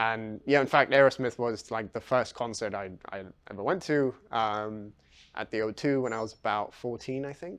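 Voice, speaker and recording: Here a man speaks with a London accent at a moderate pace. His voice sits at medium pitch with ordinary variation. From London, England. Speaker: physics PhD student. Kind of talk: interview, personal story. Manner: hesitant, many fillers.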